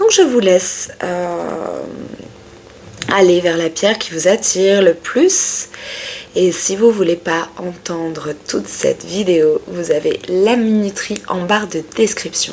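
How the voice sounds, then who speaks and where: Very slow speech from a woman, with noticeable background noise around it. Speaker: tarot reader. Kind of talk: tarot reading video. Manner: sometimes loud; hesitant, many fillers.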